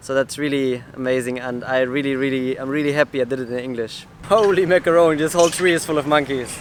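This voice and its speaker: A man speaks with a German accent at a fairly quick pace. Noticeable background noise runs behind him. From southern Germany. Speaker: travel vlogger. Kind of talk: casual vlog talk to camera, answering viewer questions. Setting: outdoors. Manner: animated.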